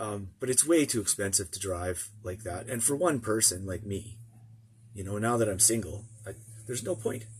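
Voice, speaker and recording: A man with a Canadian prairie accent, fairly low in pitch and somewhat breathy, at a moderate pace with ordinary pitch variation. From Canadian prairies, small town. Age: 50s. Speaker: vlogger. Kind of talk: casual vlog monologue. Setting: in a motorhome. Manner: halting, many fillers and restarts.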